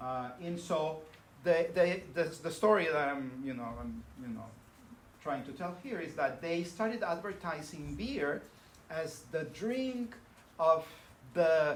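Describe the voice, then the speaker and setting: A man in a Spanish accent, fairly high-pitched and fairly slow, with lively intonation and big swings in loudness, amid noticeable background noise and audible room echo. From northern Mexico (Monterrey). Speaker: professor. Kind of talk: lecture. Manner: halting, many fillers.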